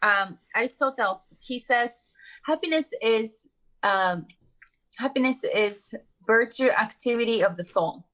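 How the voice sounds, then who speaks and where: Speaking at a fairly slow pace with long, frequent pauses, this voice has a bright, sharp tone and a Japanese accent. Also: woman, fairly high pitch for a woman, ordinary pitch variation. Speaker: entrepreneur and author. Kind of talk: interview conversation. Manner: halting, many fillers.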